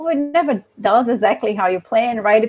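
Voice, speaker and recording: A woman with a Brazilian accent and a fairly high pitch, against a quiet background. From south Brazil, Curitiba. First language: Portuguese. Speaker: environmental engineer. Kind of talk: interview.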